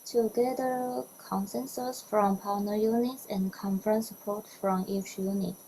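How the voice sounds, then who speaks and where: A woman with a Chinese accent and ordinary pitch variation. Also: medium pitch for a woman, fairly slow pace. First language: Mandarin Chinese. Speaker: biodiversity data product manager. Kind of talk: prerecorded conference presentation. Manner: formal.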